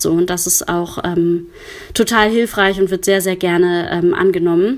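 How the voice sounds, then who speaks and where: A woman's voice amid noticeable background noise. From Germany, Cologne. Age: 30s. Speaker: counselor for sex workers. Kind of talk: interview. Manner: hesitant, many filler sounds.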